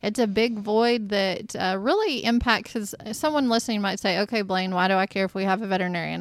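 Using an ordinary speaking voice, a woman with an American accent talks at a fairly quick pace in a medium pitch with fairly even intonation, in a very clean recording with a silent background. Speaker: state agriculture secretary, interviewer. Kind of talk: interview and casual chat. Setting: studio.

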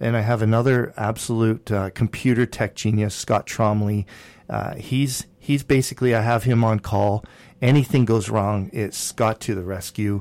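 A man with a plain, everyday voice and a Canadian accent, medium pitch, fairly even intonation, moderate pace, very clean recording with a silent background. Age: 50s. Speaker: radio host and real estate broker. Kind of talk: casual chat.

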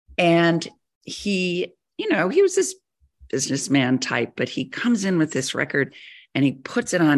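A woman with lively intonation at a moderate pace, against a quiet background. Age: 60s. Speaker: magazine editor. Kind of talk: interview.

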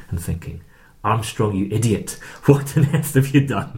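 With an Edinburgh accent, a man speaks at a moderate pace with lively intonation amid noticeable background noise and audible room echo. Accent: Scottish (Edinburgh). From Scotland, Edinburgh. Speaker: Bible charity leader, former banker. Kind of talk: interview testimony. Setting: studio.

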